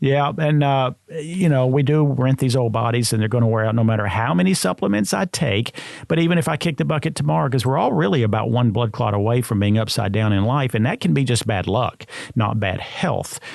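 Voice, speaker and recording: A man talks at a fairly quick pace and a medium pitch. His intonation is lively, his loudness very even. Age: 60s. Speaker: supplement industry expert. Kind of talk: podcast interview. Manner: halting, many filler sounds.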